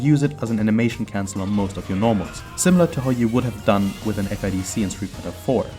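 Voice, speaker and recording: Music plays in the background as a man speaks at a very fast pace with lively intonation. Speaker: gamer, tutorial creator. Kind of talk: video game tutorial narration.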